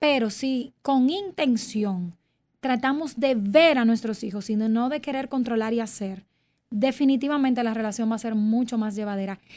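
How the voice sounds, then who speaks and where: Moderate pacing in a woman's voice, with pitch that varies in an ordinary way. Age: 30s. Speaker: clinical psychologist. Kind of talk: interview.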